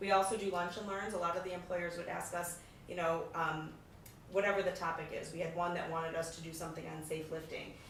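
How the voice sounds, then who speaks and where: Noticeable background noise and audible room echo surround a woman with a fairly low pitch. She speaks at a very fast pace with monotone, flat intonation. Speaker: nonprofit program manager. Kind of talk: presentation. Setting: public meeting.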